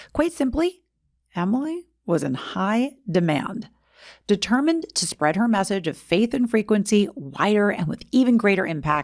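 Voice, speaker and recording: Her pitch swinging very widely, a woman is heard in a very clean recording over a silent background. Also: medium pitch for a woman, moderate pace. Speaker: podcast host. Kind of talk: documentary-style story narration.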